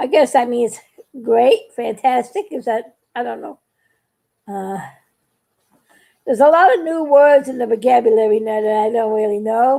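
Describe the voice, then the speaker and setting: A woman speaks with a high pitch. Her speech has long, frequent pauses. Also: ordinary pitch variation, moderate pace. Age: 60s. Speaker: craft YouTuber. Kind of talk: live stream chat while painting. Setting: live video. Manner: halting.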